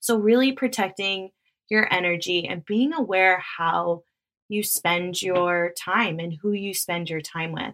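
The woman has an unremarkable speaking voice at a medium pitch. She talks at a fairly slow pace with ordinary pitch variation. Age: 30s. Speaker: podcast host and wellness coach. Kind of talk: casual solo monologue.

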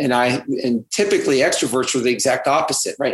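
At a fairly quick pace, words come in a plain, everyday voice with an American accent. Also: man. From California. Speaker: realtor and author. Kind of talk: interview.

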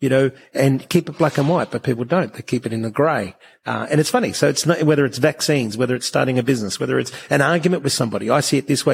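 A man with an Australian accent speaks very fast in a somewhat breathy, fairly high voice with ordinary pitch variation, on a very clean recording with a silent background. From Brisbane, Australia. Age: 40s. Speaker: entrepreneur, coffee company founder. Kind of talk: interview, conversational talk.

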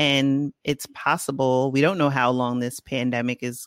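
In a Bronx accent, this voice comes through on a very clean recording with a silent background. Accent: Bronx New York. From Bronx, New York. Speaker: podcast host. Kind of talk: interview conversation.

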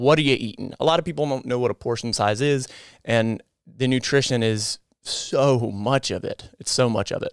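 At a moderate pace, a man speaks in a normal speaking voice of medium pitch with ordinary pitch variation. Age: 30s. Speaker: nurse and fitness content creator. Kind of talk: interview.

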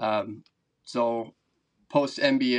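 Against a quiet background, a man talks in a medium pitch with an Upper Midwest accent. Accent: Upper Midwest American. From Wisconsin, Madison area. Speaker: record-breaking angler, former college football player. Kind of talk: casual interview.

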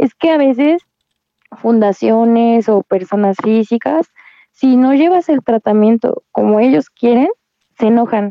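A woman with an unremarkable speaking voice talks at a fairly slow pace. Her fairly high pitch carries lively intonation. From Querétaro, Mexico. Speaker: cancer patient. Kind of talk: testimony.

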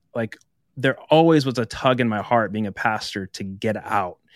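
In a very clean recording with a silent background and a dry, close sound free of echo, a man speaks at a moderate pace with an American accent. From northeast Nebraska, US. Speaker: pastor and author. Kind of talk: casual interview.

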